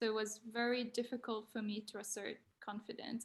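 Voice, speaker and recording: A woman with a non-native accent speaks at a moderate pace and fairly high pitch. Her voice is somewhat breathy and her intonation monotone and flat. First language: not English. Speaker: design graduate. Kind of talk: panel talk. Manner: halting.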